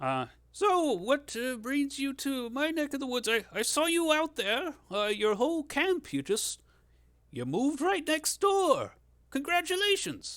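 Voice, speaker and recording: A man's put-on character voice at an extremely high pitch, fairly slow in pace, on a very clean recording with a silent background. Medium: actual play. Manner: friendly, rambling.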